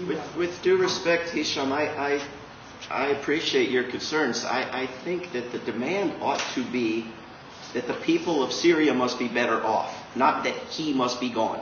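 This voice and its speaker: Noticeable background noise sits behind a man's fairly high voice. He talks at a moderate pace with ordinary pitch variation. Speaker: peace activist. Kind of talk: panel discussion. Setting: bookstore event with audience.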